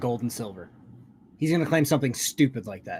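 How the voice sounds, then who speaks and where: With lively intonation, a man in an American accent speaks at a fairly high pitch. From Kentucky. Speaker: livestream commentator. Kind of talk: reaction commentary. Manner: sarcastic casual.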